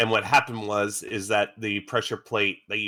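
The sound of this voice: Reading aloud in an unforced voice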